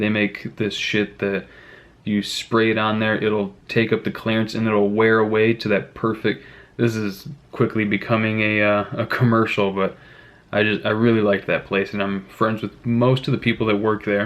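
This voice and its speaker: A man speaks in a fairly low voice with an American accent. His intonation is monotone and flat. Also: moderate pace. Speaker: youtuber, freelance mechanic. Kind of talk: casual vlog chat.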